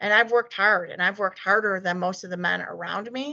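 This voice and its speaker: A woman speaks in a bright, sharp, shaky voice with fairly even intonation. The background is quiet. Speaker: desktop engineer, guest speaker. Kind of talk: talk presentation with Q&A.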